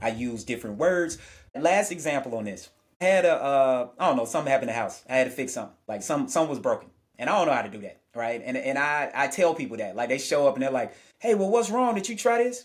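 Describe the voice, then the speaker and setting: This man talks at a very fast pace, his fairly high pitch swinging very widely. His tone is animated. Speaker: sociologist. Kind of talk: interview.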